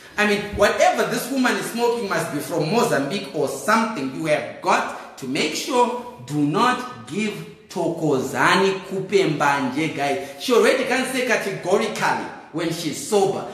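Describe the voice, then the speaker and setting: Amid noticeable background noise and audible room echo, a man speaks at a moderate pace in an animated tone, his pitch swinging very widely. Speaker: political commentator. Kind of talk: comedic monologue. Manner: loud.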